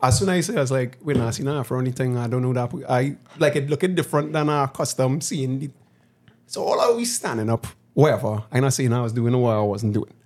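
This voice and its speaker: A man with a Trinidadian accent speaks at a fairly quick pace. His pitch is medium, with ordinary variation. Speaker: podcast host. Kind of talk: casual chat.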